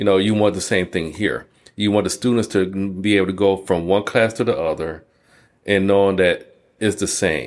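A man with an American accent has a plain, everyday voice, fairly low in pitch, with fairly even intonation, very even loudness and a moderate pace on a very clean recording with a silent background. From Detroit, Michigan, US. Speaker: college dean of allied health. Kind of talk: casual interview.

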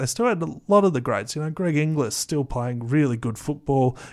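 A man talks in an Australian accent at a moderate pace. The recording is very clean, with a silent background. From Australia, Canberra. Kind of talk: casual chat.

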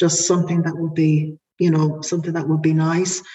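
A dark, mellow tone with an Irish accent. The voice is somewhat breathy. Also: woman. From Ireland. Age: 40s. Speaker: podcast guest sharing family story. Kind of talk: personal testimony, largely read from prepared text. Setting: remote call.

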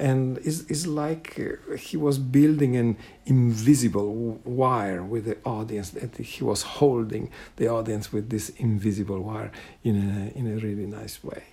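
A man with an Italian accent, medium-pitched, with a dark, mellow tone, ordinary pitch variation and a fairly slow pace. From Italy. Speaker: guitarist. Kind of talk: recorded personal reminiscence. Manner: halting, hesitant.

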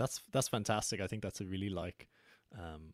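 A man with an Irish accent in a very clean recording, silent in the background, dry and close with no echo. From west of Ireland. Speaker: podcast host. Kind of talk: casual interview conversation.

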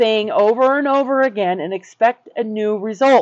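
A woman with a plain, everyday voice, fairly high in pitch, lively in intonation and fairly slow in pace. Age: 50s. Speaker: co-host, mindset and relationship coach. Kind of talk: casual chat.

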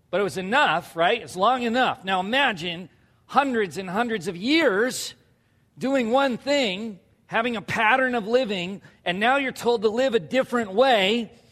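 Loud and animated, a man speaks at a high pitch with a bright, sharp tone and ordinary pitch variation. The pace is moderate, on a very clean recording with a silent background. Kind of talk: sermon. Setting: church.

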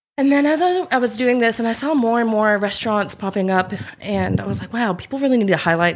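A woman speaks with an American accent. Her pace is fairly quick and her intonation lively. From South Carolina, US South. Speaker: festival organiser. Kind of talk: casual chat.

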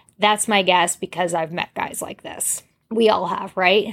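With a plain, everyday voice, a woman speaks at a moderate pace and medium pitch, her intonation fairly even. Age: 40s. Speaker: podcast host. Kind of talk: casual monologue. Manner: conversational.

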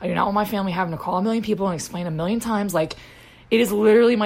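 A woman with a medium pitch speaks very fast in an animated tone over noticeable background noise. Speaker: podcast host living with lupus. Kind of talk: casual chat.

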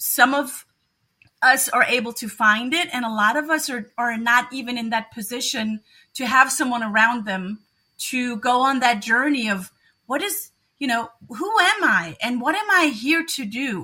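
With a German accent and a bright, sharp tone, a woman speaks at a high pitch and a moderate pace with lively intonation, on a very clean recording with a silent background. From Germany. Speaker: educator and NLP coach. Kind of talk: interview.

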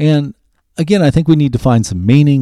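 On a very clean recording with a silent background, a man with an American accent talks at a fairly quick pace with ordinary pitch variation. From US Midwest, Ohio. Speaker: podcast host. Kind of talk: solo monologue podcast.

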